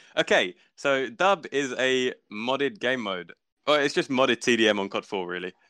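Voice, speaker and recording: A man with a southern English accent speaks at a moderate pace in a medium pitch with lively intonation. His tone is bright and sharp, recorded with a dry, close sound and no echo over a quiet background. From south-east England (Kent), Italian family. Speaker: gaming clan leader. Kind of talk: casual chat. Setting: at home, live online podcast.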